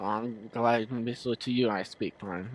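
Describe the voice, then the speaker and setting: A man speaks in a normal speaking voice at a medium pitch. His pace is fairly slow. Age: 20s. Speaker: gaming streamer. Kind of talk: casual chat.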